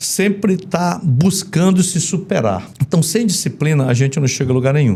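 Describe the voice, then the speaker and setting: Very wide pitch swings in a man's dark, mellow tone. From Brazil, Manaus (Amazonas). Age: 60s. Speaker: retired army colonel. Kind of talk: interview.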